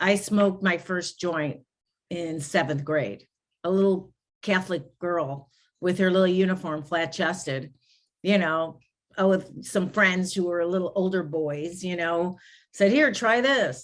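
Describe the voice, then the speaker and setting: Fairly slow speech with a Chicago accent and ordinary pitch variation. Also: woman, fairly low pitch for a woman. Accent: Chicago American. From US Midwest, inner-city Chicago. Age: 60s. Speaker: grief recovery specialist and podcast host. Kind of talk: interview conversation.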